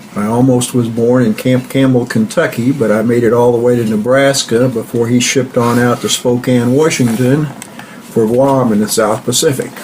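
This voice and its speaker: Amid noticeable background noise, a man with an American accent speaks in a monotone, flat way. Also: medium pitch for a man, moderate pace. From US Midwest (southeast Kansas). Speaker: grandfather interviewee. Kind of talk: oral history interview.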